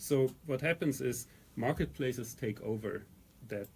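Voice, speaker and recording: In a German accent, a man talks at a moderate pace and medium pitch. His voice is somewhat breathy, with ordinary pitch variation. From Germany. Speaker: company founder and CEO. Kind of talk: radio interview. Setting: radio studio.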